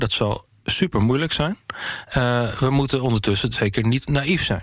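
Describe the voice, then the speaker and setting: With medium pitch and ordinary pitch variation, a man talks in a normal speaking voice. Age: 40s. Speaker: member of parliament, foreign affairs spokesperson. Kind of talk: interview.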